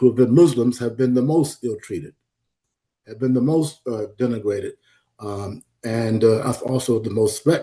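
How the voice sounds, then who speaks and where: A man with an American accent speaks at a moderate pace and medium pitch, with ordinary pitch variation and a dark, mellow tone that is somewhat breathy, against a quiet background. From US South (Florida). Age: 80s+. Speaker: historian and psychology professor. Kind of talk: lecture. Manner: hesitant, many fillers.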